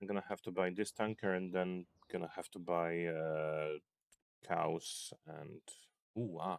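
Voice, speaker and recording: A man with a non-native accent and a very deep, low pitch speaks fairly slowly with fairly even intonation. He takes long, frequent pauses. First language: not English. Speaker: gaming video creator. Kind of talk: gameplay commentary. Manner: halting.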